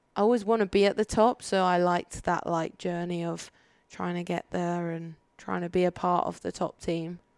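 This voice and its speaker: In a Birmingham accent, a woman speaks at a fairly low pitch with monotone, flat intonation. The recording is very clean with a silent background. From Birmingham, England. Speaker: judo athlete. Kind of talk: casual interview chat. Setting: in person, not studio.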